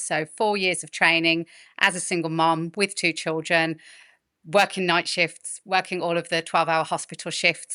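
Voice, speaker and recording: A woman with a Birmingham accent talks at a moderate pace in a fairly low pitch, her tone bright and sharp and her intonation monotone and flat, against a quiet background with a dry, close sound and no echo. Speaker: midwife and fertility specialist. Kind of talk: podcast interview.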